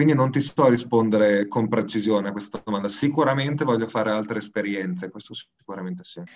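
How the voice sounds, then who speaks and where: A man's fairly low voice at a very fast pace, with hardly any pauses, ordinary pitch variation and big swings in loudness. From northern Italy, province of Bologna. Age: 20s. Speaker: events coordinator. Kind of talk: interview.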